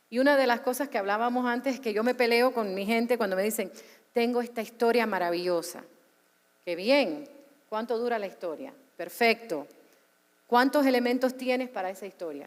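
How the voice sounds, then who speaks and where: Speaking at a moderate pace in a Cuban accent, a woman with a fairly high voice sounds animated, with ordinary pitch variation and long, frequent pauses. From US, Cuban American. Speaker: media executive. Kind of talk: panel discussion. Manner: animated, with repetitions.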